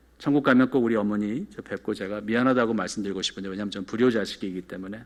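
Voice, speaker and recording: Speaking very fast with big swings in loudness, a man keeps a fairly low pitch and fairly even intonation. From South Korea, moved to New York at 14. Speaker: pastor. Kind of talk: sermon. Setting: church.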